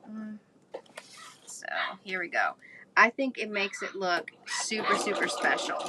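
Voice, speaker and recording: A woman at a fairly slow pace, with long, frequent pauses, big swings in loudness, and noticeable background noise. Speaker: crafter and journal maker. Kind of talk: craft tutorial livestream. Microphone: no microphone, audio going in and out.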